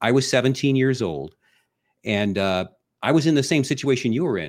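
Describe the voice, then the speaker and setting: A man with an American accent talks very fast with lively intonation on a very clean recording with a silent background. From US Midwest, Ohio. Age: 60s. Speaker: army veteran. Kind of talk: casual chat.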